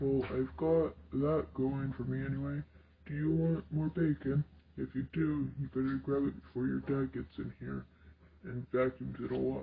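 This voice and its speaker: A man's put-on character voice at a moderate pace. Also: medium pitch for a man. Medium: read story. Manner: warm, playful.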